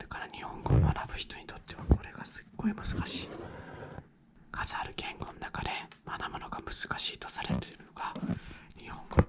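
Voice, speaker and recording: Long, frequent pauses break up whispered speech at a moderate speed, with noticeable noise in the background. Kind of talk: soft-spoken ASMR talk while coloring. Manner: soft-spoken, whispered.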